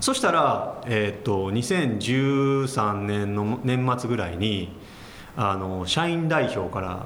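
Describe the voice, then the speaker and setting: A man with a fairly low pitch and ordinary pitch variation talks while noticeable background noise plays. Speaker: company president. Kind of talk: interview. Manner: calm, matter-of-fact.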